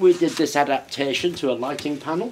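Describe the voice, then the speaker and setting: Speaking at a fairly quick pace, a man moves through his lines. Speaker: maker demonstrating a build. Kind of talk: tutorial. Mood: cheerful, amused. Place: workshop. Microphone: phone near.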